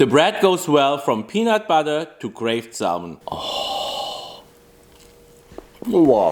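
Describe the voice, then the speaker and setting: Over noticeable background noise, a man speaks at a very slow pace in a fairly high pitch with very wide pitch swings. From Europe, not Canada. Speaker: farm bakery owner and video maker. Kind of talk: documentary narration and interviews.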